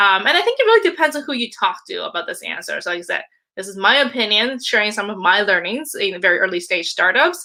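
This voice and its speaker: Talking at a fairly quick pace, a woman with a fairly high pitch and a bright, sharp tone makes very wide pitch swings. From Canada. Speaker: product manager and leadership coach. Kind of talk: conference talk.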